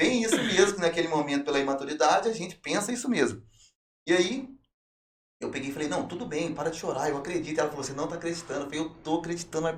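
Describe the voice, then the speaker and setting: Talking at a very fast pace, a man with a fairly high pitch uses lively intonation amid audible room echo. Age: 30s. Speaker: testimony guest, former prisoner turned preacher. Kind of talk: testimony. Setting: podcast.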